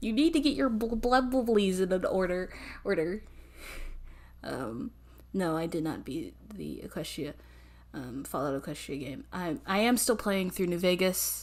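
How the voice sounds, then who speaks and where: Long, frequent pauses break up a woman's speech, which has very wide pitch swings and vocal fry. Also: medium pitch for a woman, moderate pace. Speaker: vtuber streamer. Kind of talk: casual live stream chat. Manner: halting, many fillers and restarts.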